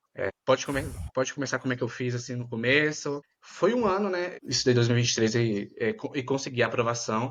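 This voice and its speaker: Talking at a fairly quick pace in a Bahian accent, a man holds a medium pitch with ordinary pitch variation. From Bahia, Brazil. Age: 20s. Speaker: medical student. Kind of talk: interview.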